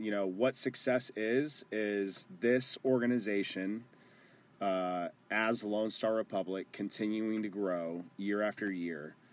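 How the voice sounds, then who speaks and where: Speaking fairly slowly with an American accent, a man uses a normal speaking voice pitched fairly low. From Texas (Garland) and Phoenix, Arizona. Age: 20s. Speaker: amateur football club owner. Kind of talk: casual chat.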